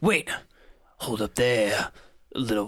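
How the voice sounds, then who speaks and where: This put-on character voice is raspy. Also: man, medium pitch for a man. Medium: actual play.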